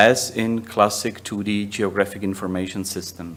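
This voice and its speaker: A man with a Czech accent speaks at a fairly slow pace, his fairly low voice keeping a fairly even intonation. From Czech Republic. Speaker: software company managing director; presenter. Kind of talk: conference presentation. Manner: halting, many fillers. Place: hall.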